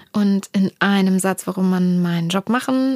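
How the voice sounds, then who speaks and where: The intonation is fairly even in this very clean recording with a silent background. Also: woman. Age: 30s. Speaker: music producer manager. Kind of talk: interview. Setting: office. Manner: hesitant fillers.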